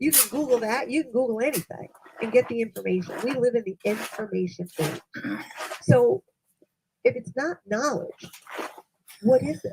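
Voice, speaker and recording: Her intonation is lively and her pitch fairly high as this woman talks with big swings in loudness. She leaves long, frequent pauses. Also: moderate pace. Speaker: leadership coach. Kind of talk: training seminar. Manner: loud, projecting voice.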